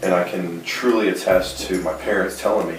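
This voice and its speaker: With noticeable background noise and audible room echo, a man talks at a moderate pace. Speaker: professional athlete and motivational speaker. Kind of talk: interview. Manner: stutter; hesitant, many fillers.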